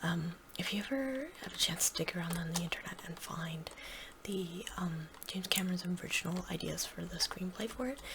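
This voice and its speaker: Soft-spoken and at a fairly quick pace, the voice comes through noticeable background noise. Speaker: ASMR gaming creator. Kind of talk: soft-spoken ASMR Q&A chat. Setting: gameplay recording. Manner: halting, many fillers.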